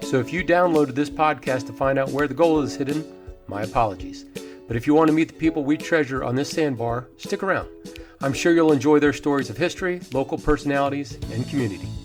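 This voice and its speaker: Music plays in the background as the speaker goes at a very fast pace with ordinary pitch variation. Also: man, fairly high pitch for a man. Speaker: podcast host. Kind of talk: podcast intro.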